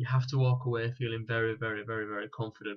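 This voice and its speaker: A somewhat breathy man talks at a fairly quick pace in a monotone, flat intonation. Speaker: personal stylist. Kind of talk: live Q&A. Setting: live stream. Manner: hesitant, with fillers and restarts.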